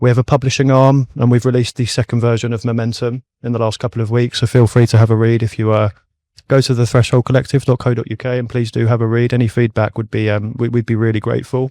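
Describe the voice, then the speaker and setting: A man with a British accent speaks at a very fast pace and medium pitch in a dark, mellow tone with monotone, flat intonation, the sound dry and close with no echo over a quiet background. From UK (childhood in Middle East). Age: 20s. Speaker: startup co-founder. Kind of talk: podcast interview. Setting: mobile podcast studio.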